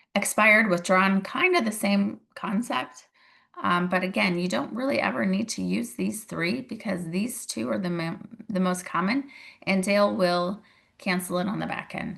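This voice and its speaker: At a moderate pace and medium pitch, a woman talks with lively intonation and vocal fry. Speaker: real estate agent and mentor. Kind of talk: tutorial. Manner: casual, conversational.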